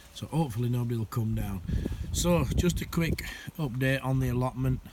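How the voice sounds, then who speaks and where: Noticeable background noise sits under a man's voice. He speaks at a medium pitch and a moderate pace. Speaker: allotment gardener. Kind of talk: casual talk to camera. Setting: outdoors.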